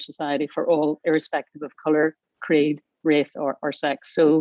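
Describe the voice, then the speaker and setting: A woman speaks with a Northern Irish accent. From Northern Ireland. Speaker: aviation industry panelist. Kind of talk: panel discussion.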